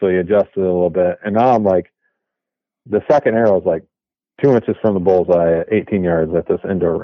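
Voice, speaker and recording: The man's pitch rises and falls in an ordinary way. He talks fairly quickly. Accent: American. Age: 30s. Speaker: bowhunter. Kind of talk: casual chat.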